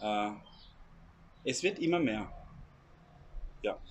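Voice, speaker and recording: A man speaks with noticeable background noise. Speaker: emigrant vlogger. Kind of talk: casual Q&A chat.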